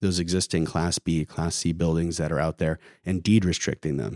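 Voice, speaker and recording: A man with an American accent speaks at a fairly quick pace in a very deep, low pitch. The recording is very clean with a silent background and a dry, close sound with no echo. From California, Santa Barbara. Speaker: real estate developer. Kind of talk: interview conversation. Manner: halting.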